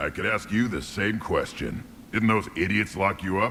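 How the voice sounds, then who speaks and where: A man does a put-on character voice at a fairly low pitch. His intonation stays fairly even, with clear background noise behind him. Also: moderate pace. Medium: video game. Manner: gruff, blunt.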